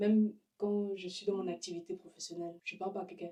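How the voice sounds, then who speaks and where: A woman speaks with a non-native accent. Her tone is dark and mellow. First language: not French (speaking French). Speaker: podcast co-host. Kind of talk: casual chat. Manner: animated.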